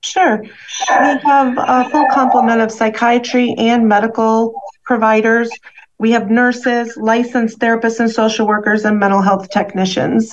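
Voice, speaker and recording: This woman has an ordinary speaking voice with a fairly high pitch and fairly even intonation. Her loudness stays very even at a moderate pace. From US Midwest. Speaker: nurse and hospital administrator. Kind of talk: interview.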